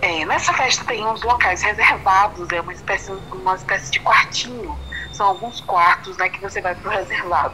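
A woman speaks with ordinary pitch variation. Noticeable background noise runs beneath her voice. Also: medium pitch for a woman, moderate pace. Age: 20s. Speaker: interviewee sharing personal story. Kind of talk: interview.

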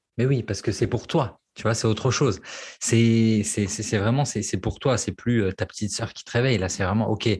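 Somewhat breathy and at a medium pitch, a man talks at a moderate pace with fairly even intonation and big swings in loudness, captured on a very clean recording with a silent background. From French provinces. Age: 30s. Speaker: copywriter and former love coach. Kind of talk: casual interview.

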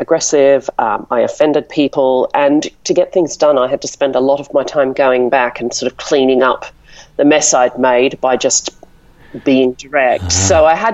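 In an Australian accent, a woman talks at a moderate pace with a very deep, low pitch and ordinary pitch variation. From Melbourne, Australia. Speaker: marketing director and blogger. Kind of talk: interview. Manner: hesitant, filler-heavy.

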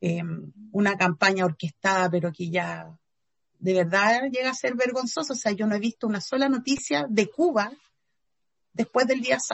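This woman speaks at a moderate pace with a medium pitch and a somewhat breathy voice, in a Chilean accent, leaving long, frequent pauses. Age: 40s. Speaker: feminist activist and philosopher. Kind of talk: interview.

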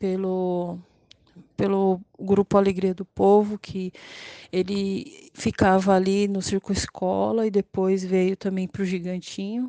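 A woman's very slow speech at medium pitch, dark and mellow in tone, dry and close with no echo, over a quiet background. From São Paulo, Grajaú. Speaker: local resident. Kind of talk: testimony.

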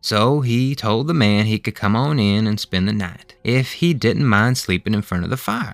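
With a Southern US accent, a man speaks at a medium pitch and a moderate pace, with a warm tone. His pitch varies in an ordinary way, and he hardly pauses at all. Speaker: podcast host and storyteller. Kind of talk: bedtime ghost story reading aloud, narrated folk tale. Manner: folksy, warm, storytelling cadence with Southern dialect; measured and gentle, building suspense.

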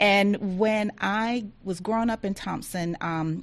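Against a quiet background, a woman with a Southern US accent talks with ordinary pitch variation. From rural Georgia, US South. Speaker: agency diversity office director. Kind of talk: interview.

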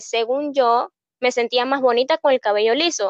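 A woman speaks at a moderate pace in a high voice with fairly even intonation, her sound dry and close with no echo against a quiet background. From Panama, Colón province. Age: 20s. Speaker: hairstylist and beauty pageant contestant. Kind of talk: interview.

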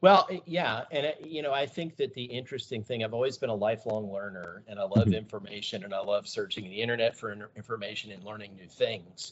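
With an American accent and a normal speaking voice, a man talks at a fairly quick pace and medium pitch, with hardly any pauses and big swings in loudness. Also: ordinary pitch variation. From US South and Midwest (Georgia, Iowa, Texas). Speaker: pilot in training. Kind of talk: casual interview.

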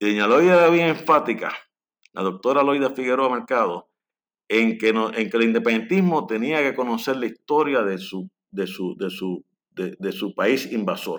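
A man's unremarkable speaking voice at medium pitch, moderate pace and with lively intonation. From Puerto Rico, Lares. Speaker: historian and author. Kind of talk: interview.

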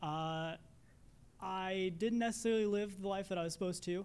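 A man is speaking. He has a Midwestern American accent. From Indiana, US Midwest. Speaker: air force bomb disposal technician. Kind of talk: testimony. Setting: church.

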